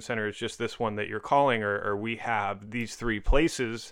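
With an American accent, a man speaks in a plain, everyday voice, fairly low in pitch and at a fairly slow pace over a quiet background. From Northern California, Orinda. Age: 30s. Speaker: addiction recovery program admissions director. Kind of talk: casual interview.

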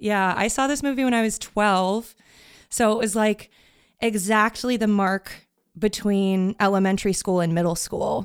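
A woman's plain, everyday voice at medium pitch, with fairly even intonation and a moderate pace, on a very clean recording with a silent background. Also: very even loudness. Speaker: podcast editor and musician. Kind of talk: casual chat.

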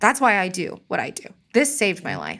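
A woman's ordinary speaking voice at medium pitch, with ordinary pitch variation, in a very clean recording with a silent background. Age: 30s. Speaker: mother of four, small art business owner. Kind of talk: casual interview, personal testimony.

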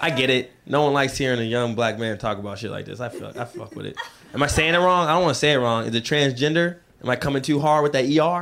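Very fast speech from a man with ordinary pitch variation, amid noticeable background noise. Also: medium pitch for a man. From Seattle. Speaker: stand-up comedian. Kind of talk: stand-up. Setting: stage with audience. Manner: fast talker.

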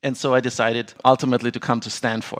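Speaking fairly quickly, the man uses a medium-pitched voice. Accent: German. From Austria. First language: German. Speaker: business attorney and sports franchise owner. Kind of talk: interview.

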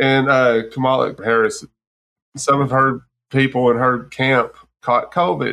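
A man's bright, sharp voice with an American accent. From Texas. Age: 40s. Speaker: podcast host. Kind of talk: casual chat.

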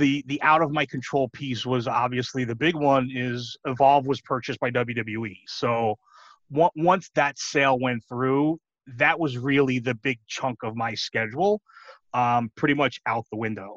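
The voice carries a New York accent with a dry, close sound and no echo. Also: man, medium pitch for a man, ordinary pitch variation, fairly slow pace. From New York City. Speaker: pro wrestling commentator. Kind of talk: casual interview.

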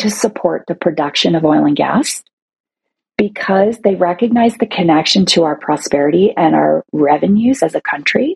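With a Canadian accent, a woman speaks at a fairly low pitch, using lively intonation and some vocal fry. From Toronto, Canada. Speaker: CEO of a women's advocacy organization. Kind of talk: interview.

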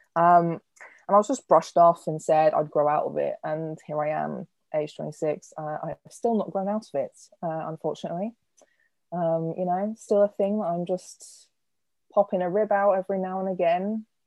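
A woman speaks with an English accent. Her intonation stays fairly even. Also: moderate pace. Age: 20s. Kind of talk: interview.

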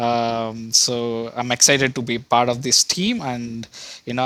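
Amid noticeable background noise, a man talks at a medium pitch in a monotone, flat intonation. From India. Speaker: research scientist. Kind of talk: casual interview. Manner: hesitant, many fillers.

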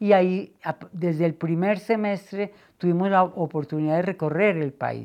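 A woman's dark, mellow voice at a fairly low pitch, over a quiet background. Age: 70s. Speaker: anthropologist and cultural manager. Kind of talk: interview. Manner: halting, frequent repetitions.

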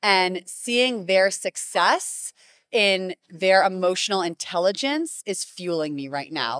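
Lively intonation in an American accent at a very slow pace, dry and close with no echo, on a very clean recording with a silent background. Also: woman, medium pitch for a woman. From US Northeast, Greenwich, Connecticut. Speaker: middle school teacher. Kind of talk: interview. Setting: conference.

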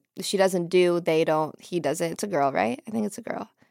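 With an American accent, the speaker talks at a very fast pace with ordinary pitch variation, the sound dry and close with no echo. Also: woman, very clean recording, silent background. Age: 20s. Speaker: choreographer. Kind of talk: casual chat. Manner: calm; carefully enunciated.

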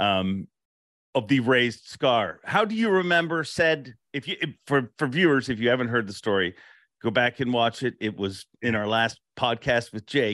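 A man speaks in an ordinary speaking voice at a medium pitch. His pace is moderate and his intonation lively. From Canada. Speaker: fishing podcast host and tournament emcee. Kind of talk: casual interview podcast.

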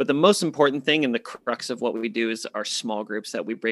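A man at medium pitch with ordinary pitch variation has a plain, everyday voice, recorded dry and close with no echo in a very clean recording with a silent background. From US Southwest (Phoenix, Arizona). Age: 30s. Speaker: men's ministry leader. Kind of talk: interview.

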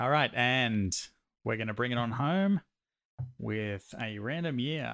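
A man in a normal speaking voice, with medium pitch, lively intonation and a fairly slow pace. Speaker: podcast host. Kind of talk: casual banter podcast.

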